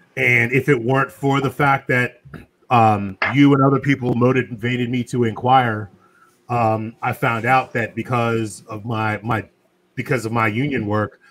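An unremarkable speaking voice with an American accent moves at a fairly slow pace with fairly even intonation. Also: man. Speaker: podcast host. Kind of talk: casual chat.

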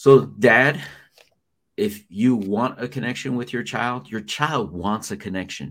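With vocal fry and lively intonation, a man speaks in an animated tone at medium pitch and a fairly slow pace. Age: 40s. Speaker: founder of a school fathers' program. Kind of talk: interview about personal testimony.

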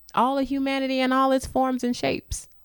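Over a silent background in a very clean recording, a woman speaks at a fairly quick pace. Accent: St. Louis. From St. Louis, Missouri. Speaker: theater professor and actor-director. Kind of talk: radio interview. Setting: radio studio.

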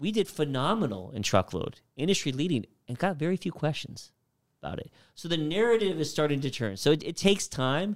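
A man with a fairly high pitch and vocal fry talks at a fairly quick pace with very wide pitch swings, in a very clean recording with a silent background. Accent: American. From US Southwest, Phoenix, Arizona. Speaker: trucking company executive. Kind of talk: interview.

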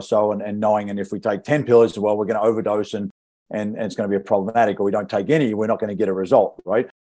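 A dark, mellow voice with an American accent at a very fast pace. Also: man. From Western Australia. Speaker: nutrition coach. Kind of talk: casual chat. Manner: halting, many fillers and repetitions.

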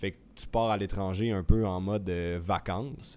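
Fairly low in pitch and dark, mellow in tone, a man talks at a fairly slow pace with fairly even intonation on a very clean recording over a silent background. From Quebec, Saguenay. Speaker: professional cyclist and co-host. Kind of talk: interview.

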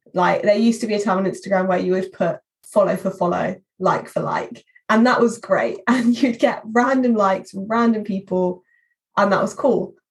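Somewhat breathy, a woman speaks at medium pitch and moderate pace with fairly even intonation. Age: 20s. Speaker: social media marketing executive. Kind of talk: interview.

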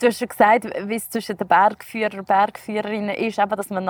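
The woman speaks at a fairly high pitch. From Switzerland, canton Uri (Erstfeld). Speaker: podcast host. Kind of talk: scripted narration; casual interview. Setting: outdoors.

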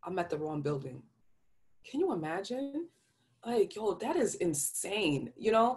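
Speaking in a New York accent, a woman with a medium pitch uses very wide pitch swings at a fairly slow pace with long, frequent pauses. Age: 30s. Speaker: podcast host. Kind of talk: casual, slangy.

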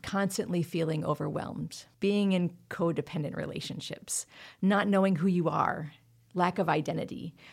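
A woman with an ordinary speaking voice talks at a moderate pace in a fairly low pitch, with ordinary pitch variation. The recording is very clean, with a silent background. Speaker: member care coordinator. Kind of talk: interview discussing trauma.

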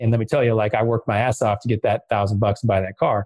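Somewhat breathy and medium in pitch, a man with an American accent talks at a very fast pace in a dry, close sound with no echo. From US Midwest, West Michigan. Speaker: fintech entrepreneur. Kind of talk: casual interview.

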